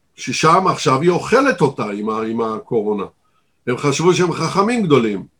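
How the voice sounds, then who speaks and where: Very wide pitch swings from a man with a fairly high pitch. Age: 70s. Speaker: news commentator. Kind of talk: interview. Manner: smooth, expressive delivery.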